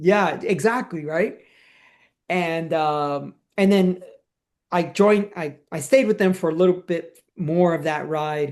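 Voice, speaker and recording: A man talks very slowly in a high voice, his pitch moving in an ordinary way. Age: 60s. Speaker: podcast co-host, amateur cyclist. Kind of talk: casual chat. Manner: animated.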